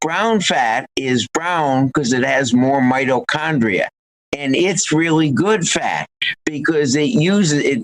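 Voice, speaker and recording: Speaking very slowly at a fairly high pitch, a man uses lively intonation and very even loudness, with a dry, close sound and no echo. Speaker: physician and wellness author. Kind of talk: interview. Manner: animated.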